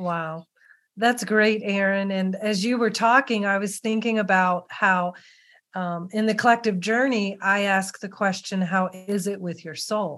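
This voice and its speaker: Against a quiet background, a woman with a normal speaking voice talks fairly slowly at medium pitch with fairly even intonation. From Western Maryland. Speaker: podcast host. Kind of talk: interview conversation.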